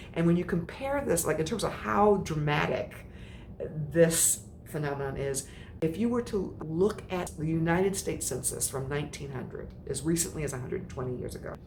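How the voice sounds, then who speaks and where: Speaking fairly quickly in an American accent, a woman uses a very deep, low pitch with lively intonation. Her tone is animated, and audible room echo surrounds her. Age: 60s. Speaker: menopause coach. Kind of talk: motivational talk.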